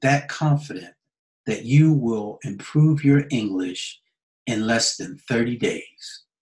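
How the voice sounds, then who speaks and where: A man's somewhat breathy, medium-pitched voice with an American accent, at a very slow pace with ordinary pitch variation. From United States. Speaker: English teacher. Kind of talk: sales pitch.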